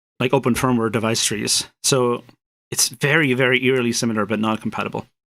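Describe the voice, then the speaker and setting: Here a man speaks at a fairly quick pace with a medium pitch. His intonation is fairly even. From Spain. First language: Spanish. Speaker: programmer streaming his work. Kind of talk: live coding stream, casual commentary. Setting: live stream. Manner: hesitant, many repetitions and fillers.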